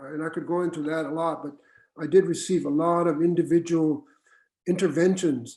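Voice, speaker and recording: A man speaks with a dark, mellow tone and fairly even intonation. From US Southwest, Mexican-American barrio. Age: 70s. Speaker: retired university administrator. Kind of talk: panel conversation. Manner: halting.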